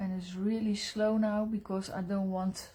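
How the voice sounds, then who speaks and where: A woman speaks at a fairly slow pace with a Dutch accent. Her pitch sits in the middle of her range, and her intonation is monotone and flat. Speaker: pastel artist. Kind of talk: live drawing tutorial. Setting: live stream. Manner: halting, with many fillers.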